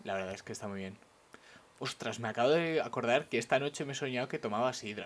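A man speaks at a very fast pace, his pitch medium with ordinary variation. His loudness swings widely. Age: 20s. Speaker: podcast co-host. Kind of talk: casual chat. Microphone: new microphone.

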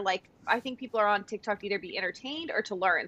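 Bright and sharp in tone, a woman with an American accent speaks with ordinary pitch variation. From US West Coast, San Diego. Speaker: content creator and former event planner. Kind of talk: casual chat.

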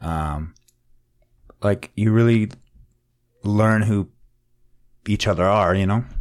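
A man's fairly low voice at a very slow pace, with long, frequent pauses and ordinary pitch variation. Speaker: furniture and cabinetry maker, remodeler. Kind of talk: casual chat.

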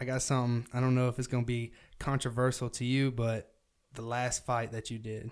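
A man's medium-pitched voice with a Southern US accent, fairly quick in pace and monotone, with flat intonation. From US South. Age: 20s. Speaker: podcast host. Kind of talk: casual chat.

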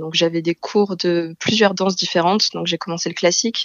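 A woman speaks in an ordinary speaking voice at medium pitch, with fairly even intonation and a fairly quick pace. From Marseille, southern France. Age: 20s. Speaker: translator. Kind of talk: interview.

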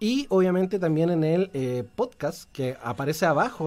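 A man speaks in a Chilean accent at a moderate pace. His intonation is lively. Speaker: radio host. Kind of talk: live radio chat. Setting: radio studio.

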